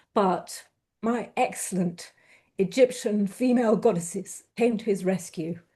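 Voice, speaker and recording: A woman speaks with a dark, mellow tone, somewhat breathy, with ordinary pitch variation. Behind her, the background is quiet. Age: 60s. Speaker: poet. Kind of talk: interview with poetry reading.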